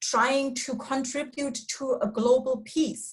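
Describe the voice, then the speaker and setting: At a very slow pace, a woman speaks at a high pitch with a German accent. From Germany. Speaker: foundation staff, policy expert. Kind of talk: online panel discussion. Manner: hesitant, many fillers and restarts.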